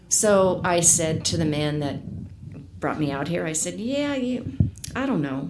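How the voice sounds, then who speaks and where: Amid audible room echo and noticeable background noise, a woman speaks very slowly. Her pitch is very deep and low for a woman and swings very widely. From US military family, moved around (South, California). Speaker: casino cocktail server. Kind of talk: casual interview chat.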